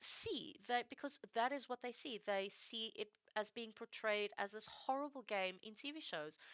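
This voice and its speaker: Lively in intonation, a woman with a high pitch speaks at a very slow pace. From South Africa. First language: Afrikaans. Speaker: streamer. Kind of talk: casual chat. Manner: halting.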